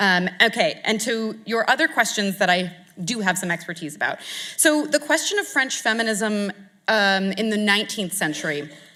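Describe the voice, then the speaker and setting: A woman with an American accent speaks at a moderate pace, her tone bright and sharp and her intonation lively. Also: medium pitch for a woman. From United States. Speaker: art historian. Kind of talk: lecture Q&A. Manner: halting, many fillers.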